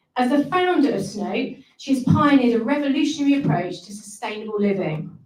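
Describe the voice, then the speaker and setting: Audible room echo surrounds speech with lively intonation. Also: woman. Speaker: managing director of training company. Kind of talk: ceremony speech. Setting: stage with audience, venue.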